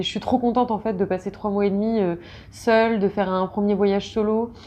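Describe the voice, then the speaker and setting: A woman speaks at a medium pitch and moderate pace. Her intonation is flat and monotone. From Rouen, France. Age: 20s. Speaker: travel vlogger. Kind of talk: casual talk to camera.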